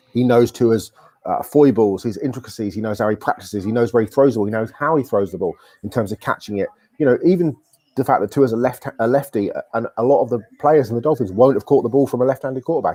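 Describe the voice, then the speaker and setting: A man with a British accent speaks at a very fast pace in a medium pitch. His tone is dark and mellow, and the sound is dry and close with no echo. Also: ordinary pitch variation. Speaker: sports writer. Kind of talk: casual sports analysis chat. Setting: live stream.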